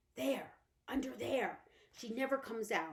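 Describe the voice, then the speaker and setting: A female-sounding, put-on character voice is raspy and fairly high in pitch. It keeps a moderate pace. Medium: read story. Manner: nervous.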